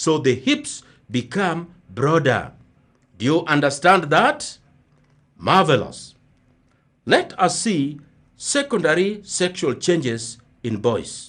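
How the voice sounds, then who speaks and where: Against a quiet background, a man with a fairly high voice and lively intonation speaks at a very slow pace with long, frequent pauses. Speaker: primary school teacher. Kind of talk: radio lesson for children. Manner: repetitive, slow teaching pace.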